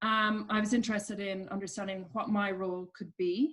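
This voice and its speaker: A woman speaks at a moderate pace with an Irish accent. Her voice is medium-pitched and somewhat breathy, and her intonation is fairly even. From Ireland. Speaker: coach at a business charity. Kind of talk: interview.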